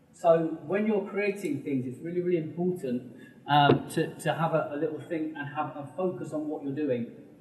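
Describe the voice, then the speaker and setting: Audible room echo and noticeable background noise surround a man's voice. He speaks at a fairly high pitch with ordinary variation. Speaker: business mentor. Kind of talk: public talk. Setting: stage with audience. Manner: fast.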